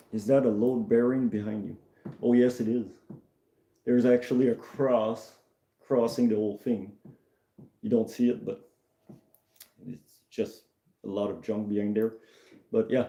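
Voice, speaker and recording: In a Quebec accent, a man with a dark, mellow tone speaks at a medium pitch and moderate pace, his fairly even intonation broken by long, frequent pauses. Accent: French-Canadian accent in English. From Canada, Maritimes, Acadian, born in Quebec. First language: French. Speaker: mechanic and streamer. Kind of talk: casual live stream chat. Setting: shed. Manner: halting.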